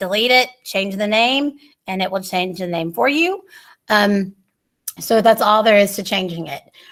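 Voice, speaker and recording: A woman speaks with lively intonation. Her pitch sits in the medium range. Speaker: workshop presenter for teachers. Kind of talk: online training workshop. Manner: fast.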